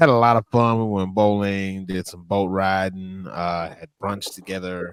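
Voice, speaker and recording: Speaking with a Louisiana accent and ordinary pitch variation, a man is heard in a very clean recording with a silent background. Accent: Louisiana Southern US. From northern Louisiana. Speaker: wrestling manager. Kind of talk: interview.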